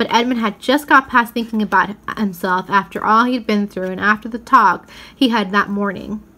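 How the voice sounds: Natural reading voice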